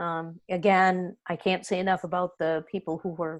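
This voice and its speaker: A woman's fairly low voice, a normal speaking voice, fairly even in intonation and moderate in pace, against a quiet background. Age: 60s. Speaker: sailor, overboard survivor, guest presenter. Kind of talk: Zoom Q&A talk to a sailing association. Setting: online video call.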